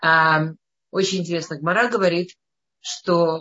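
A woman talks at a very slow pace in a fairly low pitch. Her intonation stays fairly even. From Russia, Moscow. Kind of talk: lecture. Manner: halting.

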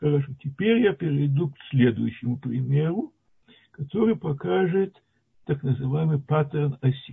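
A man with a normal speaking voice talks at a fairly slow pace. His pitch is fairly high, with lively intonation. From Latvia (Soviet Union). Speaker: retired mathematician, lecturer. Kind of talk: lecture.

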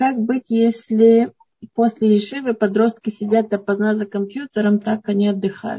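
A woman with a fairly high, somewhat breathy voice talks at a moderate tempo. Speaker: moderator relaying questions. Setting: online video session.

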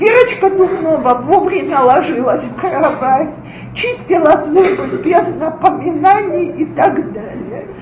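A woman speaks at a very slow pace with an extremely high pitch and lively intonation. Her loudness swings widely, with audible room echo and noticeable background noise. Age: 40s. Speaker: lecturer on parenting. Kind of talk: lecture.

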